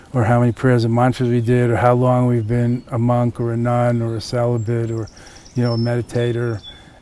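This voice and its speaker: Over noticeable background noise, a man talks at a fairly quick pace in a medium pitch, his intonation monotone and flat. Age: 60s. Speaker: Buddhist teacher. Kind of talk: interview. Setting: outdoors. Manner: conversational.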